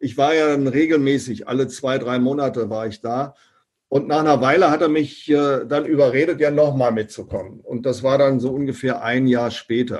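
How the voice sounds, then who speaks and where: This is a normal speaking voice, moving at a medium speed with fairly flat intonation. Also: man, fairly high pitch for a man. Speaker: professor and direct sales consultant. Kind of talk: interview.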